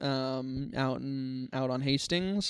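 Western Canadian accent on a very clean recording with a silent background. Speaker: filmmaker and comedy venue organizer. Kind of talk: casual chat. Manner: halting.

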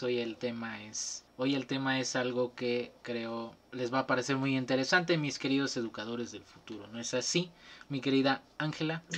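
A man's medium-pitched voice at a moderate pace against a quiet background. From Veracruz, Mexico. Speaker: student podcast host. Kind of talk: casual chat. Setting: video call. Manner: animated.

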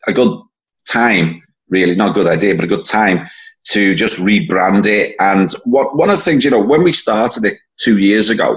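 Lively intonation colors speech at a moderate pace in a Liverpool accent. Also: man. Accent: Scouse (Liverpool). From Liverpool, England. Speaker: event organizer, football fan. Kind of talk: casual interview.

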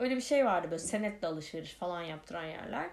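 Lively intonation marks this woman's medium-pitched voice. The room echo is audible. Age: 30s. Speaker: podcast host. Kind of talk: casual monologue. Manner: many filler hesitations.

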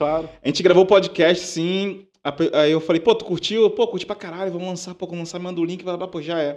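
A man speaks fairly quickly in a high voice with monotone, flat intonation and big swings in loudness. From Baixada Fluminense, Rio de Janeiro. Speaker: musician, DJ and music producer. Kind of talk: casual chat.

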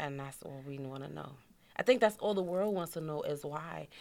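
Here is a woman with a New York accent. Her pitch varies in an ordinary way. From New York, Queens (Far Rockaway). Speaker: widow of a rapper. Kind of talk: interview, personal story.

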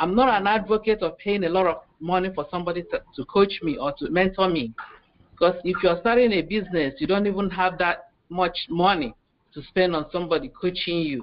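A woman with an African accent talks at a fairly quick pace, her pitch medium and its variation ordinary. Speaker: physician. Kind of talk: panel discussion. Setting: video call.

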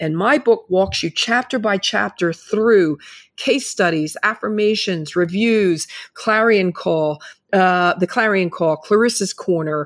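A woman with a normal speaking voice and a medium pitch talks at a fairly slow pace with ordinary pitch variation, on a very clean recording with a silent background. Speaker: media personality, former model, guest. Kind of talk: casual interview.

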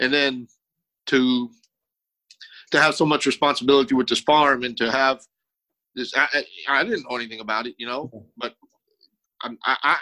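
A man's bright, sharp tone at a fairly quick pace, dry and close with no echo. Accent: Texan. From South Texas. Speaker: war veteran and former policeman. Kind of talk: interview. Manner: halting.

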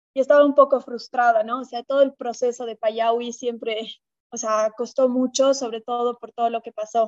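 A woman's high voice at a moderate pace, monotone and flat, with big swings in loudness and a dry, close sound with no echo. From Bolivia, La Paz. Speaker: chef and restaurant owner. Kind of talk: interview.

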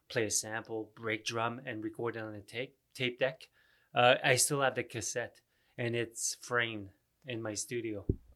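Speaking in a French Canadian accent, a man has a medium pitch, a bright, sharp tone and monotone, flat intonation. His pace is moderate, and the recording is very clean with a silent background. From Canada (Ottawa, francophone). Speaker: rapper. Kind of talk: casual chat.

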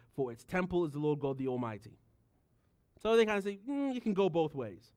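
A man with a British accent talks very fast, his intonation lively. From United Kingdom. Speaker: pastor. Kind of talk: sermon.

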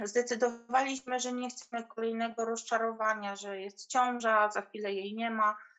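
This woman's voice has a fairly high pitch. Her intonation stays monotone and flat. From Poland, small village. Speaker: mother sharing birth story. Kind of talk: testimony.

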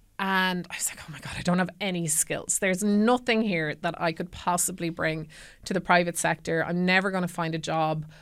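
Over a silent background on a very clean recording, the speaker goes at a fairly quick pace with fairly even intonation in an Irish accent. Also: woman, fairly low pitch for a woman. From Ireland, County Kildare. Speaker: former army officer, tech trust and safety manager. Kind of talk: casual interview. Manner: hesitant, many fillers.

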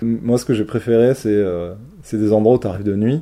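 The man's voice is fairly low in pitch with a dark, mellow tone. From Marseille, southern France. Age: 30s. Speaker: traveller recounting a working holiday. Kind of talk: interview testimony. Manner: halting, many fillers and repetitions.

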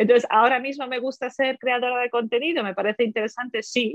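A woman with a high pitch speaks with fairly even intonation in a dry, close sound with no echo. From Poland, then Germany. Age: 30s. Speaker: language teacher and editor. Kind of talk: interview. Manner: halting, with repetitions.

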